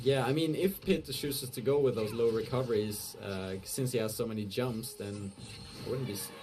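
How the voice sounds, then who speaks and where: A man at a medium pitch, with audible room echo and noticeable background noise. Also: ordinary pitch variation, moderate pace. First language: not English. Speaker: esports commentator. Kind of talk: live commentary. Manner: halting; animated.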